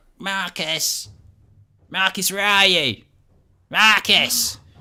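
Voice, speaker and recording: In a put-on character voice, a man speaks very slowly, raspy and high-pitched. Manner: calling out.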